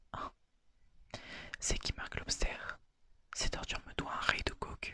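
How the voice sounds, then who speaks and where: Someone whispers at a fairly slow pace. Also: man. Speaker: ASMR creator. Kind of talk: ASMR story reading. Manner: whispered.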